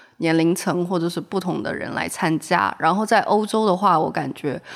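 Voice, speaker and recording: A woman's normal speaking voice, fairly low-pitched, at a moderate pace with ordinary pitch variation. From Shenzhen, southern China. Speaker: graduate student and blogger. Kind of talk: casual chat.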